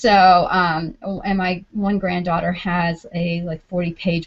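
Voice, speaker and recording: The speaker, in a New York accent, moves at a fairly slow pace. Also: woman. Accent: New York accent, clear. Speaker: homeschooling panelist. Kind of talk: panel discussion.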